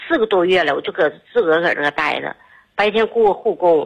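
A woman is speaking. Her pace is fairly quick. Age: 50s. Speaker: caller. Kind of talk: phone call to radio show. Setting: phone call. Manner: rambling, halting.

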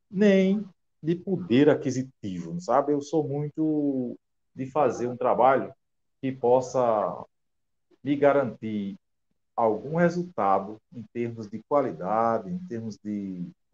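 In a dry, close sound with no echo, a man of medium pitch speaks at a very slow pace, with long, frequent pauses, big swings in loudness and very wide pitch swings. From Rio Grande do Norte interior, Brazil. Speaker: author and teacher. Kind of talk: interview.

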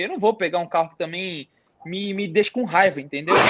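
Fairly quick in pace, a man talks at a high pitch. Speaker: car YouTuber. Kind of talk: casual chat. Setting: live stream.

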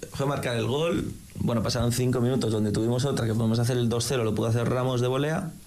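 Delivered at a very fast pace with very even loudness and fairly even intonation, the voice carries audible room echo. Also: man, medium pitch for a man. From Madrid, Spain. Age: 20s. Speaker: football fan correspondent. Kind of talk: casual chat.

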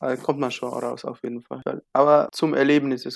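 A man's voice, monotone and flat in intonation. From southern Tunisia, Gafsa. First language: Tunisian Arabic (speaking German). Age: 20s. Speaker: university student. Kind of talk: casual interview. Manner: halting.

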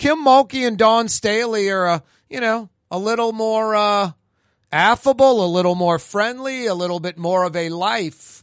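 A man's high-pitched voice at a moderate pace, with ordinary pitch variation and a quiet background. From New Orleans. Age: 50s. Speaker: talk radio and TV host. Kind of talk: talk radio monologue. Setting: studio.

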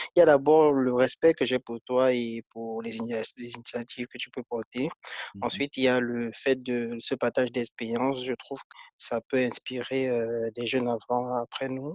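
Hardly pausing, a man talks at a medium pitch in a monotone, flat way with big swings in loudness, in a dry, close sound with no echo. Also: fairly slow pace. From Cameroon, Foumban. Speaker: biotechnology engineer. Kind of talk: interview.

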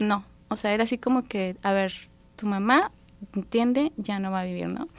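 A woman has a normal speaking voice with a fairly high pitch, at a fairly quick pace. The recording is very clean, with a silent background and a dry, close sound with no echo. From Mexico, Durango. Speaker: psychologist and thanatologist. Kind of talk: radio interview. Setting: radio studio.

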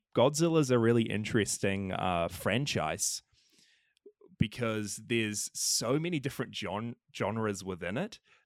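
With a New Zealand accent, a man speaks at a fairly slow pace. His intonation is lively. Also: medium pitch for a man. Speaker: podcaster, film fan. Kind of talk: casual chat.

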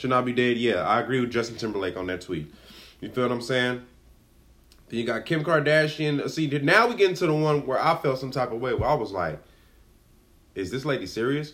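With an American accent, a man at medium pitch sounds animated, using lively intonation and long, frequent pauses. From Los Angeles (Watts), California. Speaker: podcast host. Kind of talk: casual commentary monologue.

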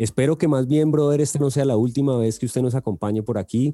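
A man speaks at a fairly quick pace with a dark, mellow tone and ordinary pitch variation. The sound is dry and close, with no echo. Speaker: podcast host. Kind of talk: casual interview. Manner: halting, many fillers and repetitions.

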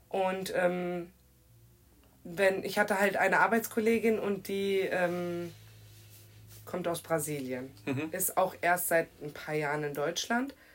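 At a very slow pace and with long, frequent pauses, a woman speaks at medium pitch with ordinary pitch variation. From Germany, Kirchheim (Hesse). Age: 20s. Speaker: guest speaking on racism. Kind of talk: casual chat.

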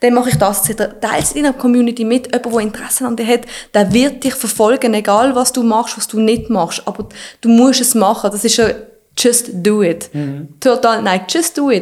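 With an ordinary speaking voice, a woman talks at a moderate pace and a fairly high pitch, varying it in an ordinary way. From Switzerland, Basel. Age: 30s. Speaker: fitness influencer. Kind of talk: casual interview.

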